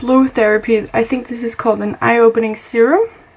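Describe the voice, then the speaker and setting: A woman speaks at a high pitch and a moderate pace. Noticeable background noise can be heard. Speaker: beauty vlogger. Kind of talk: get-ready-with-me tutorial. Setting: home makeup spot.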